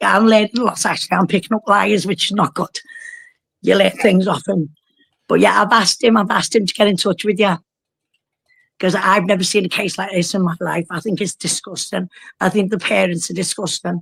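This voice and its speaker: A woman speaks at a fairly quick pace with a Liverpool accent. The sound is dry and close, with no echo. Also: medium pitch for a woman. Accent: Scouse (Liverpool). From northern England, Liverpool. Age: 60s. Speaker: caller. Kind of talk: casual chat. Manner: animated.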